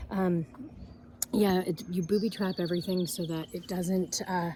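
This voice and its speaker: A woman's fairly low, dark, mellow voice, somewhat breathy, with fairly even intonation at a moderate pace. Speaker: farmer and vlogger. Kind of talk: casual vlog garden tour. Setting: outdoors. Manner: hesitant, many fillers.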